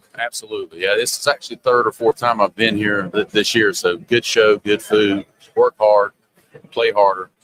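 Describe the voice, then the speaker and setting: In a Southern US accent, a man talks at a moderate pace with fairly low pitch and fairly even intonation, the sound dry and close with no echo. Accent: noticeable Southern. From US South, Charlotte, North Carolina. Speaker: sales executive in printing industry. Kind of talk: casual interview. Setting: trade show booth.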